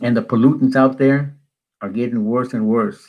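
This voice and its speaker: A man with an American accent and medium pitch talks at a moderate pace with lively intonation over a quiet background. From Wyoming, US. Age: 60s. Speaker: video blogger. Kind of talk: political commentary monologue. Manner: halting, with frequent restarts; animated.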